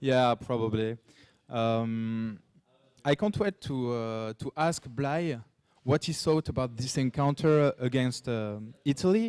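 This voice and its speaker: Speaking very slowly in a French accent, this man has a medium pitch and ordinary pitch variation. The sound is dry and close, with no echo. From France. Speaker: esports caster. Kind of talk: casual chat.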